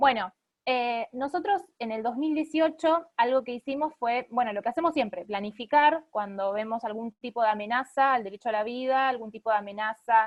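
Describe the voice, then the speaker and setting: A woman speaks with a high pitch and ordinary pitch variation. She leaves hardly any pauses. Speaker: lawyer and pro-life activist. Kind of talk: online talk. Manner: fast.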